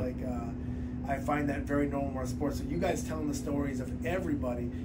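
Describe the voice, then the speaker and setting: A man at a very fast pace amid loud background noise. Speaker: wrestling coach. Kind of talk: interview answer. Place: office. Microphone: phone near.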